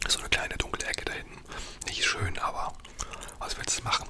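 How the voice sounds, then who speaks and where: Someone whispers at a very fast pace. Noticeable background noise sits behind the voice. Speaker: ASMR creator. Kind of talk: storytelling. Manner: whispered.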